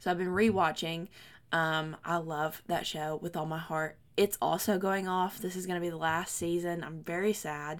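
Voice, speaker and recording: A woman speaks in a fairly low pitch at a moderate pace with monotone, flat intonation. The recording is very clean, with a silent background. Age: 20s. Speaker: book podcast co-host. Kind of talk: casual chat.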